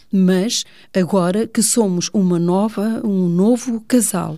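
A woman is speaking. Her tone is dark and mellow. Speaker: teacher. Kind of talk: radio talk show.

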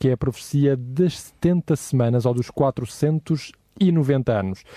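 With a European Portuguese accent, a man speaks at a fairly high pitch in a dark, mellow tone, the sound dry and close with no echo. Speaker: radio host. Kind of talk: radio Bible study discussion. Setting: studio.

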